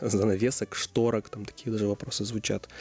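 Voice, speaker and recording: This man speaks at a fairly quick pace with a medium pitch. Music plays in the background. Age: 20s. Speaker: restaurant co-founder. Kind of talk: interview.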